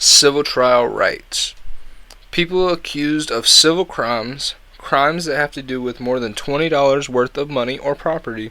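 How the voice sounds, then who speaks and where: This man has a fairly high pitch and an American accent. His pitch variation is ordinary, and it is a plain, everyday voice. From US. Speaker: YouTube podcaster. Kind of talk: explainer monologue. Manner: casual.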